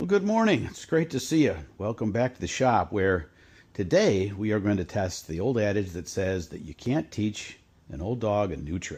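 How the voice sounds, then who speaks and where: A man with an unremarkable speaking voice talks at a moderate pace and a fairly low pitch. His intonation is lively and his loudness swings a lot. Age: 60s. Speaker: DIY hobbyist video host. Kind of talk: casual tutorial vlog. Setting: home workshop. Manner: relaxed, conversational with fillers.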